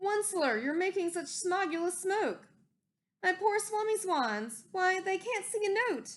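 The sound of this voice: Woman in a put-on character voice, extremely high pitch, fairly bright tone, lively intonation, fairly slow pace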